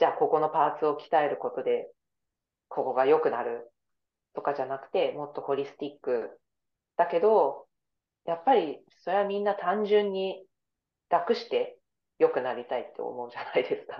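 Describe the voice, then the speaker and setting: Long, frequent pauses break up a woman's speech. Her loudness swings widely. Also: moderate pace. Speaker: yoga instructor and dancer. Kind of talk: casual chat.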